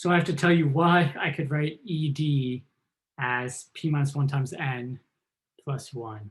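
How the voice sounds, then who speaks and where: At a fairly slow pace, a man talks in a somewhat breathy, fairly high voice. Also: ordinary pitch variation. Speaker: math professor. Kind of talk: lecture.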